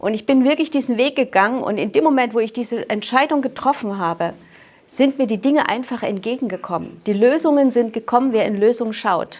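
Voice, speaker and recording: This woman's voice is high-pitched and varies in an ordinary way. She talks at a fairly quick pace. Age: 60s. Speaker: mental trainer giving testimony at a talk. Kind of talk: personal testimony to audience.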